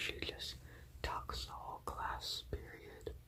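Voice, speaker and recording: Someone whispers at a fairly slow pace. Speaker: college student; ASMR creator. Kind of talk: ASMR whisper ramble. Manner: whispered, up close.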